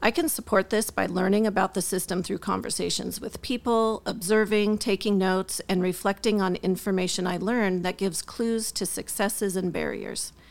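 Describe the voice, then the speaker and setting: A woman speaks in an unremarkable speaking voice at a medium pitch and a moderate pace. The recording is very clean, with a silent background. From US Midwest. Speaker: school district administrator. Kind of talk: interview.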